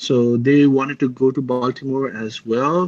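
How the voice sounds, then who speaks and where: This man speaks at a fairly high pitch. He has a Nepali accent. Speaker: metal guitarist. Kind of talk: interview. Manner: halting, many fillers and restarts.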